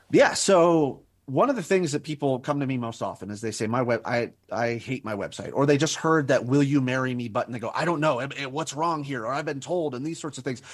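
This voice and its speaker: A man speaks fairly quickly with hardly any pauses. His pitch is fairly high, with ordinary variation. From New Mexico, US. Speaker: business coach. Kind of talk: interview. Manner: animated.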